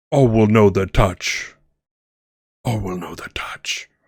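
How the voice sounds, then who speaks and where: Putting on a character voice, a man talks at a fairly slow pace with a fairly low pitch and ordinary pitch variation. His voice is raspy and resonant, with big swings in loudness. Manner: eerie, ominous.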